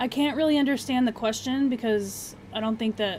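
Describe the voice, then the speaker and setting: A woman with an ordinary speaking voice, at a moderate pace, with ordinary pitch variation. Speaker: gaming streamer. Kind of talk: live stream chat.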